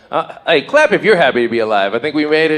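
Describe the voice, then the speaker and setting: Very fast speech in an American accent, with crowd noise in the background. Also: man. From Las Vegas, US. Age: 40s. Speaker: stand-up comedian. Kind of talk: stand-up. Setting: stage with audience.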